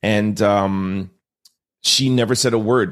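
With a Canadian accent and fairly even intonation, a man speaks in an unremarkable speaking voice on a very clean recording with a silent background. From Montreal, Canada. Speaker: entrepreneur and author. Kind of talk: interview.

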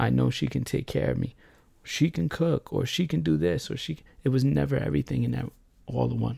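A man speaks with a very deep, low pitch and a dark, mellow tone. His pitch swings very widely. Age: 30s. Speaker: podcaster telling personal story. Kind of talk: personal monologue. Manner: rambling, fast.

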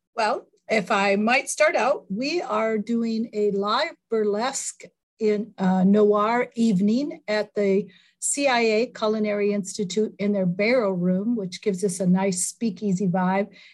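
In a normal speaking voice, a woman with an American accent talks at a fairly slow pace, her pitch fairly high and varying in an ordinary way. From US Midwest. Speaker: movie theater owner. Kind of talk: casual interview.

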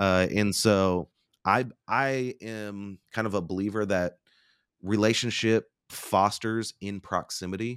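The recording is very clean, with a silent background and a dry, close sound free of echo. A man speaks at a very slow pace with fairly even intonation. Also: fairly low pitch for a man. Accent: American. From Oklahoma (Bartlesville). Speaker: company founder and public speaker. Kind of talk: interview conversation.

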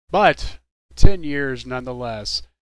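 In a very clean recording with a silent background, the speaker talks with a Texan accent. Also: man. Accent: Texan American. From Texas, Dallas-Fort Worth. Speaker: radio DJ. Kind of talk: radio DJ patter between songs.

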